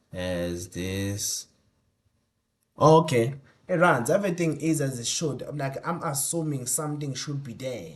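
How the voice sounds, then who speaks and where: Mumbling at a fairly slow pace, a man's voice swings very widely in pitch over a quiet background. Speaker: tech YouTuber. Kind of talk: tutorial. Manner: halting, thinking aloud.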